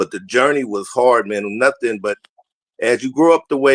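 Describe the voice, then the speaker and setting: A man with an American accent speaks at a medium pitch and a moderate pace. He has a plain, everyday voice with fairly even intonation, and the sound is dry and close with no echo. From Southeast San Diego, California. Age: 60s. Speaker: former NFL player and high school football coach. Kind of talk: casual talk show chat.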